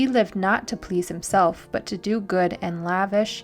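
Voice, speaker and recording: With music playing behind her, a woman talks at a fairly slow pace, her medium pitch showing ordinary variation. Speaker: evangelist. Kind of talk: devotional reading.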